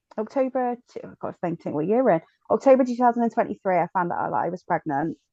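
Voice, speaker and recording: A dark, mellow voice races along at a very fast pace with a strong Bristol accent and lively intonation. The loudness swings widely, and the sound is dry and close with no echo. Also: woman, medium pitch for a woman. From Bristol, south-west England. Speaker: podcast guest, bereaved mother. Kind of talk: personal testimony. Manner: hesitant, many fillers.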